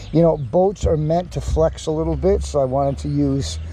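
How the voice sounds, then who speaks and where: A man talks at a moderate pace as noticeable background noise carries on behind him. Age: 60s. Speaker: DIY boat repair youtuber. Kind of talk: tutorial. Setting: outdoors in backyard, humid. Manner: hesitant, many fillers and repeated words; trying to be quiet.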